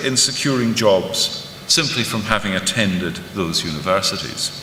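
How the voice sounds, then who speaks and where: A man speaks at a moderate pace. Noticeable background noise and audible room echo fill the recording. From Scotland. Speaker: professor. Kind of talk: conference lecture. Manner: formal.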